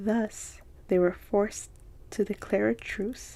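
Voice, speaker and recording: Soft-spoken with a calm tone, a woman speaks at medium pitch and a fairly slow pace in a somewhat breathy voice with a dark, mellow tone. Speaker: ASMR content creator. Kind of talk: ASMR story reading. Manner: soft-spoken, calm, slow.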